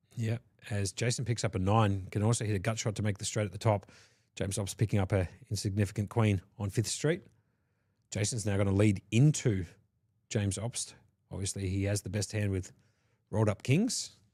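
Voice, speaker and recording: A man with an Australian accent speaks in a dark, mellow, somewhat breathy tone, with fairly even intonation and long, frequent pauses, on a very clean recording with a silent background. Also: fairly low pitch for a man, fairly quick pace. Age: 40s. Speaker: poker commentator. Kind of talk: live commentary.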